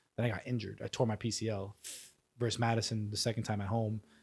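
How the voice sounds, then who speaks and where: A somewhat breathy voice with an American accent at a very fast pace, on a very clean recording with a silent background. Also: man. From New York. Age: 20s. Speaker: professional soccer player. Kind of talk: casual interview.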